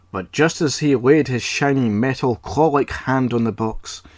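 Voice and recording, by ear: The pitch varies in an ordinary way. A text is read aloud in a natural voice.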